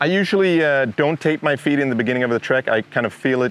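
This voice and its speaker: Over noticeable background noise, a man with a Swedish accent talks at a fairly quick pace with ordinary pitch variation. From Sweden. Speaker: outdoor YouTuber. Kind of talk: casual talk to camera. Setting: outdoors.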